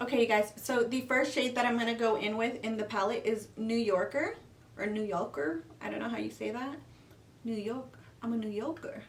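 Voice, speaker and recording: Noticeable background noise and audible room echo surround a woman speaking at a fairly high pitch in an American accent. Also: ordinary pitch variation, moderate pace. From California. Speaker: beauty youtuber. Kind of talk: makeup tutorial. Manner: casual chatty.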